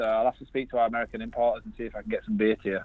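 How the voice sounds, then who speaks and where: In a Yorkshire accent, a man speaks with lively intonation. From Yorkshire, northern England. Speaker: brewer. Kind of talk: casual chat.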